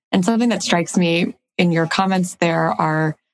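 A woman with a plain, everyday voice speaks at a fairly low pitch with ordinary pitch variation, in a dry, close sound with no echo. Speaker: podcast co-host, arthritis patient advocate. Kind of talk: interview.

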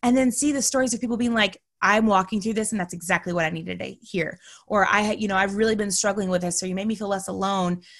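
A woman with an American accent speaks in an animated tone at a very fast pace, her voice somewhat breathy. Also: medium pitch for a woman. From Texas. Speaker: podcaster. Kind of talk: interview conversation.

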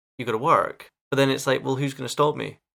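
A man at a very fast pace, medium in pitch, with a bright, sharp tone, vocal fry and fairly even intonation. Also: very clean recording, silent background. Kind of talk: casual chat.

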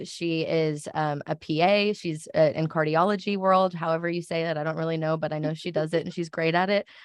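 A woman talks in a plain, everyday voice at a moderate pace. Her pitch is fairly low, and the background is quiet. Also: hardly any pauses. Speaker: marketing coordinator and podcast co-host. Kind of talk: casual chat.

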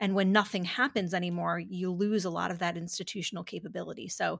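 A woman at a medium pitch speaks with an American accent and vocal fry, at a fairly quick pace. Her intonation is fairly even, and the recording is very clean with a silent background. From upstate New York. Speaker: conservative policy director. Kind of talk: interview.

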